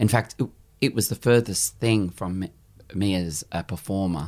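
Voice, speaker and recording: Speaking with an Australian accent, a man uses a very deep, low pitch and a dark, mellow tone, with ordinary pitch variation at a moderate pace on a very clean recording with a silent background. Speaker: cabaret performer and actor. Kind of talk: interview.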